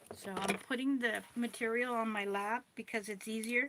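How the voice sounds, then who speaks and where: A woman talks at a fairly slow pace with a fairly high pitch. Noticeable background noise runs through the clip. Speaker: doll clothes maker. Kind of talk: tutorial. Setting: livestream.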